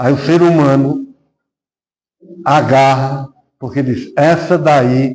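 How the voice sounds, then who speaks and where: This man's voice has a dark, mellow tone and a fairly high pitch. It is somewhat breathy, with ordinary pitch variation. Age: 60s. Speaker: spiritist lecturer. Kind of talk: sermon.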